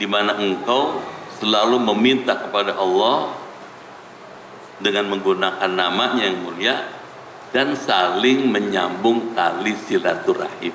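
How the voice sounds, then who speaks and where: In a room with audible echo and noticeable background noise, a man with a fairly low pitch speaks fairly slowly, with ordinary pitch variation. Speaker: Islamic preacher. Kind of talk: sermon. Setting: mosque with audience. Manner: slow, soothing teaching tone; getting quieter.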